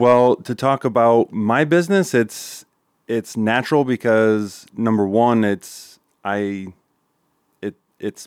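With a Midwestern US accent, a man speaks on a very clean recording with a silent background and a dry, close sound with no echo. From Nebraska. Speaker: custom framing and furniture business owner. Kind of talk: casual interview.

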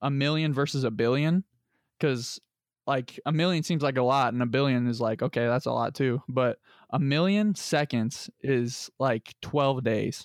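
In an American accent, a man with an unremarkable speaking voice talks at a medium pitch and moderate pace. The sound is dry and close with no echo, over a quiet background. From Lebanon (US). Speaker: football player and podcast co-host. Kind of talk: casual chat.

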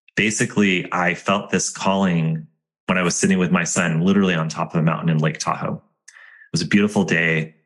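The speech moves at a fairly quick pace with fairly even intonation. Loudness swings widely. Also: man, very deep, low pitch for a man. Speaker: podcast host and school founder. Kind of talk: solo podcast monologue.

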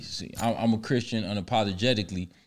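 Here a man talks at medium pitch with fairly even intonation. The recording is very clean, its background silent. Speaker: hip-hop discussion guest. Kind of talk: casual chat.

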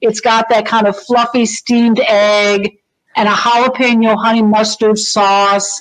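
A woman's fairly high-pitched, normal speaking voice with fairly even intonation. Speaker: food columnist. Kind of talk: casual chat.

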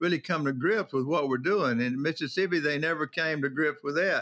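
On a very clean recording with a silent background, a man with a Southern US accent speaks at a moderate pace, his fairly high voice bright and sharp in tone, with ordinary pitch variation. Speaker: prison commissioner. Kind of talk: interview. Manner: blunt, straight-talking.

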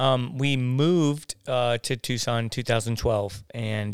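The speaker has an American accent and talks at a very slow pace with ordinary pitch variation. The recording is very clean, with a silent background. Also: man. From San Diego, California. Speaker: pastor. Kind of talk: casual interview. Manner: halting.

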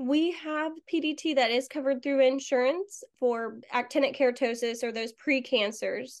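A woman speaks with an American accent. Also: quiet background. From Florida. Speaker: dermatology nurse. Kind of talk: interview.

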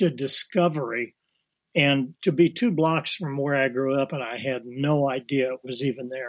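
A man with an ordinary speaking voice talks fairly slowly. His pitch is fairly high, with ordinary variation. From Kirksville, Missouri. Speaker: watercolor artist. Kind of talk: interview.

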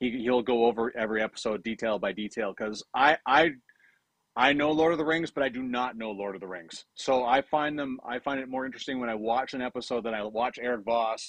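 Here is a man with a plain, everyday voice and a Canadian accent. He talks at a fairly quick pace, at medium pitch with ordinary variation. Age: 50s. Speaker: fantasy sports scout and hockey broadcaster. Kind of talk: casual chat.

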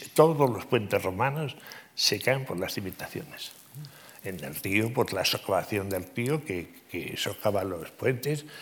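A man with a fairly low pitch speaks at a fairly slow pace with lively intonation, in an ordinary speaking voice. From Navarre, Spain. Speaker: civil engineer and professor. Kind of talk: interview conversation. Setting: stage with audience.

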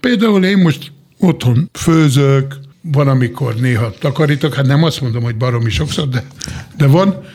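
Noticeable background noise sits behind a man speaking at a fairly slow pace. His pitch is fairly high, with ordinary variation. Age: 50s. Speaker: chef. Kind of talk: casual chat. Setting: studio.

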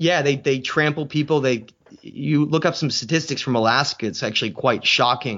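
A man with an American accent and a normal speaking voice talks at a moderate pace. His pitch varies an ordinary amount. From New Hampshire, US. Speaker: author and researcher. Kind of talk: interview.

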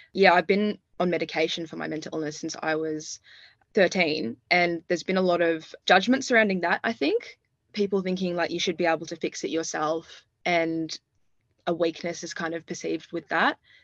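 With an Australian accent, a woman speaks at a moderate pace in a fairly low voice with fairly even intonation, recorded dry and close with no echo against a quiet background. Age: 20s. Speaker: university student. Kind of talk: interview.

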